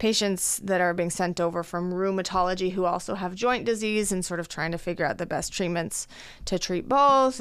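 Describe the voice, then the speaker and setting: A woman with an American accent speaks at medium pitch with ordinary pitch variation, in a normal speaking voice. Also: hardly any pauses. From Colorado, US. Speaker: dermatologist. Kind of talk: interview.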